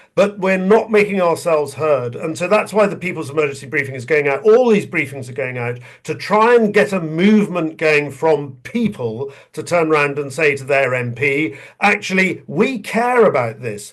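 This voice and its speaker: With a southern English accent, a man speaks at a moderate pace in a fairly high pitch that swings very widely. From England. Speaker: retired army general. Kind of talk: webinar talk.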